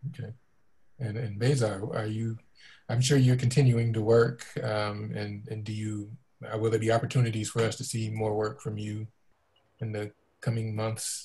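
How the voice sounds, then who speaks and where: A man with a dark, mellow, somewhat breathy tone speaks at a moderate pace in a monotone, flat intonation, leaving long, frequent pauses. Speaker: museum community engagement director, moderator; moderator. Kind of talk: moderated panel discussion. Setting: video call. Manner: halting, many fillers. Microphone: video call.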